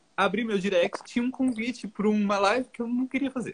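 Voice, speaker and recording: A man is speaking. His pace is moderate. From São Paulo, Brazil, moved south at 14. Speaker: minimalism content creator. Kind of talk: casual chat. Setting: live stream.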